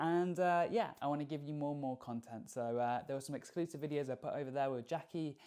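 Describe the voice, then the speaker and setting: In an English accent, the speaker goes very fast with hardly any pauses. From England. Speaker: YouTube reactor. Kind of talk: reaction video commentary.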